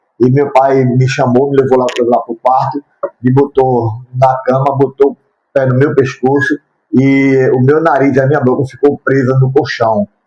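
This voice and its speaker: At a moderate pace, a man speaks at a fairly high pitch in a plain, everyday voice. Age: 60s. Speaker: YouTuber sharing his life story. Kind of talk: testimony.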